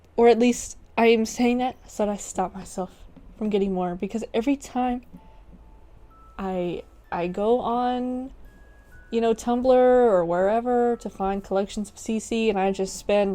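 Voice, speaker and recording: Fairly slow, fairly high-pitched speech from a woman over music in the background. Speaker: gaming YouTuber. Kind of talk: casual gameplay commentary. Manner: hesitant, many fillers.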